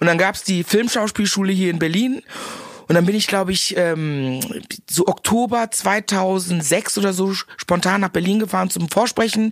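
An animated tone with ordinary pitch variation at a moderate pace. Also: woman, medium pitch for a woman. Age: 40s. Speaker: actress and comedian. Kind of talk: casual chat.

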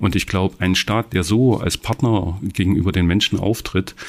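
A man speaks in a very deep, low voice on a very clean recording with a silent background. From Saxony, Erzgebirge (Annaberg-Buchholz). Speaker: politician. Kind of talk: political interview.

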